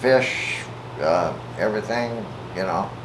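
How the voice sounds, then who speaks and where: A man with an American accent speaks at a very slow pace and medium pitch. Noticeable background noise and audible room echo surround his voice. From US Midwest, Omaha, Nebraska. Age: 70s. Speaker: interviewee, retired railroad worker. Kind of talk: interview. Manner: halting, many fillers.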